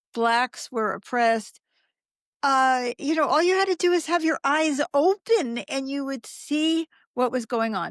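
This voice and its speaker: A woman with an American accent and lively intonation at a fairly slow pace, in a dry, close sound with no echo and a very clean recording over a silent background. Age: 70s. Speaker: spiritual activist. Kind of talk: interview conversation. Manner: animated.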